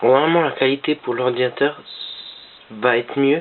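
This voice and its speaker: The voice is quiet. Noticeable background noise runs underneath it. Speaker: gaming tutorial youtuber. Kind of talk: tutorial. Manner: speaking quietly; halting, many fillers.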